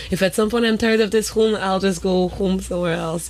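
There is noticeable background noise behind the speaker. A woman talks at a moderate pace. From Haiti.

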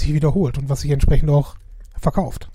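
A man speaks at a fairly high pitch with a dark, mellow tone. His voice is somewhat breathy, and his intonation is fairly even. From Essen, Ruhr area, Germany. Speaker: podcast co-host. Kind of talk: casual chat.

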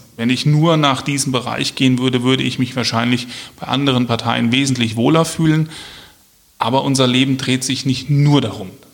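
A medium-pitched man at a moderate pace with fairly even intonation, amid noticeable background noise. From Germany, Hesse (Marburg). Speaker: police officer and local politician. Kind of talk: interview.

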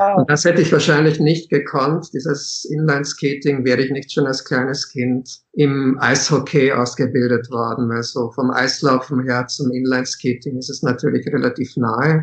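An unremarkable speaking voice, this man talks at a moderate pace and medium pitch with fairly even intonation and hardly any pauses. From Czechia, moved to Austria at seven. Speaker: author and teacher. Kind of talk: interview.

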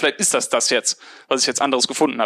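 This man has a fairly high pitch and fairly even intonation. His speech runs very fast. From Remscheid, Bergisches Land, Germany. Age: 20s. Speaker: mechanical engineer turned podcaster. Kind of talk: interview.

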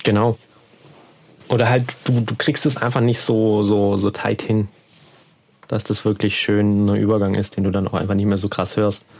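A man mumbles at a moderate pace and a fairly low pitch, in a monotone, flat intonation with very even loudness. His speech has long, frequent pauses, and there is noticeable background noise. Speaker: podcast host. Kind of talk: casual chat. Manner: mumbling.

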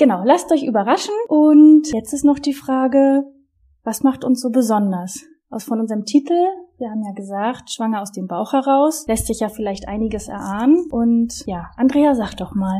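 Lively in intonation, a woman with a high pitch and a dark, mellow tone speaks with big swings in loudness. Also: moderate pace. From northern Germany, Wismar on the Baltic coast. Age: 30s. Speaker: podcast co-host, sports manager. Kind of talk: podcast introduction, casual.

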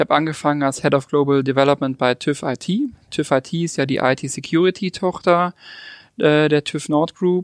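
A man with an unremarkable speaking voice talks at a moderate pace in a fairly high pitch, with fairly even intonation. The sound is dry and close, with no echo. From Lake Constance region, southern Germany (Ravensburg). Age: 30s. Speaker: digital academy leader. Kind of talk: interview.

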